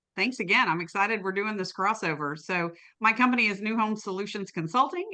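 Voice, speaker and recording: A woman's bright, sharp voice with an American accent. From East Tennessee, US South (small town). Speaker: sales consultant, podcast co-host. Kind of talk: casual podcast interview.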